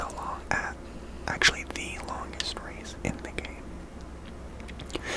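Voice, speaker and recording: Someone whispers at a very slow pace with noticeable background noise. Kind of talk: ASMR gameplay commentary, casual talk while playing. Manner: whispered, soft-spoken.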